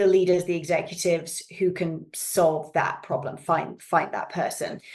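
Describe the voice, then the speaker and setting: A woman is speaking. She has a British accent. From Canada (Yukon, Alberta), then England from age eleven. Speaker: executive search consultant. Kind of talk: podcast interview.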